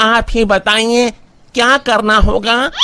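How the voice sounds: A man puts on a cartoonish character voice, high-pitched, slow and fairly even in intonation, his tone bright and sharp yet clear and smooth.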